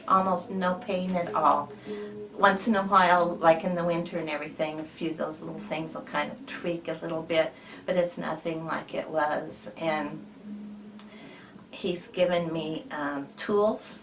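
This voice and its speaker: A woman talks at a fairly slow pace with a fairly low pitch. Noticeable background noise and audible room echo fill the recording. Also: ordinary pitch variation. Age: 60s. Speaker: patient giving a testimonial. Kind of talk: testimony. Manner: halting.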